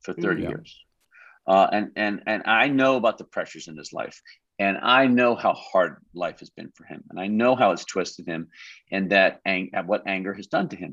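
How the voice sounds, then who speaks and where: Against a quiet background, a man with an unremarkable speaking voice talks at a moderate pace with a fairly low pitch and big swings in loudness. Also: ordinary pitch variation. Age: 50s. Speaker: actor in recovery. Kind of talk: casual chat.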